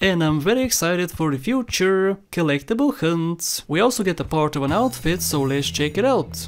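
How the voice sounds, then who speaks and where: The speaker has a Bulgarian accent and talks at a moderate pace. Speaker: gaming YouTuber. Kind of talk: gameplay commentary. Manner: casual, joking.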